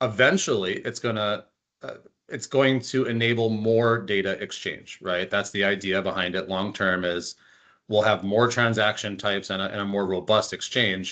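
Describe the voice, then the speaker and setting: In an ordinary speaking voice, a man with an American accent talks at a moderate pace, his fairly low pitch held in fairly even intonation. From US South, North Carolina. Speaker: health data director. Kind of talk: webinar discussion.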